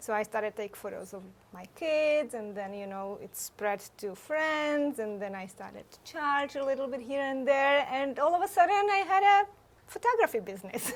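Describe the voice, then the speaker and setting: Speaking at a moderate pace with a Czech accent, a woman's high voice makes very wide pitch swings and big swings in loudness. Background noise is noticeable. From Czech Republic. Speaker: photographer. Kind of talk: interview.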